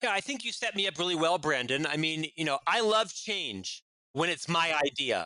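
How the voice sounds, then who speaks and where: Loud and high-pitched, a man talks with a bright, sharp tone and lively intonation. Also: moderate pace, dry, close sound with no echo. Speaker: business executive and author. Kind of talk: interview. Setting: podcast interview.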